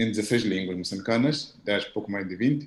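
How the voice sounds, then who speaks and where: The man's medium pitch varies in an ordinary way as he talks at a moderate pace. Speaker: professor. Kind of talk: audience question at video conference.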